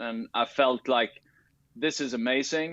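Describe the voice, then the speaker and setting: A man with a Swedish accent speaks at a fairly slow pace. His medium pitch stays monotone and flat. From Sweden. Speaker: tennis coach and tech founder. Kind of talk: interview. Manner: halting, many fillers and restarts.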